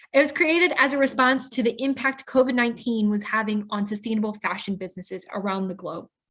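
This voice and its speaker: The speaker is a woman with an American accent. She talks fairly quickly. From US Midwest, Pontiac, Illinois. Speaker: webinar host. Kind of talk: scripted introduction.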